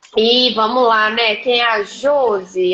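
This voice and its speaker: A woman with a Minas Gerais accent speaks in a fairly high pitch. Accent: Minas Gerais (mineiro). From Minas Gerais, Brazil (Governador Valadares). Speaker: leadership mentor and coach. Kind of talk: live-stream interview. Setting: live video stream.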